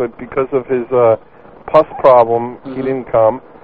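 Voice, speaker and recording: With an American accent, the speaker talks at a moderate pace over noticeable background noise. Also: man. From New York. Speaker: caller. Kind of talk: crude comedic banter. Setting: phone call.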